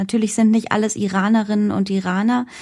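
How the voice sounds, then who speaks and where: A woman speaks in a somewhat breathy voice with a dark, mellow tone. The recording is very clean with a silent background. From Germany, German-Iranian background. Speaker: journalist and presenter. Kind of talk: interview.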